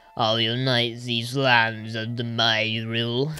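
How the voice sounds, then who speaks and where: Putting on a character voice, a man talks at medium pitch and a fairly slow pace with monotone, flat intonation. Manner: grandiose.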